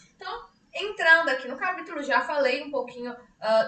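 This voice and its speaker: Very wide pitch swings at a fairly quick pace, with audible room echo. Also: woman. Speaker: psychologist teaching a study group. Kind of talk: online lecture. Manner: speaking louder than usual; conversational, many fillers. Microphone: weak mic, voice coming out quiet.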